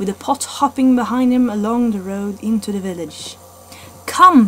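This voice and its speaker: A woman's moderately paced speech comes through noticeable background noise. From Norway. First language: Norwegian. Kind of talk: read story. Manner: slight stutters.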